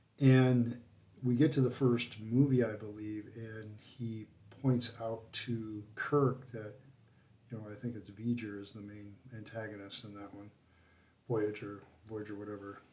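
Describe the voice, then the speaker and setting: With audible room echo, a man talks at a fairly slow pace in a somewhat breathy, dark, mellow voice of medium pitch and monotone, flat intonation. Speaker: philosophy channel host. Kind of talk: casual vlog monologue. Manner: hesitant, many fillers.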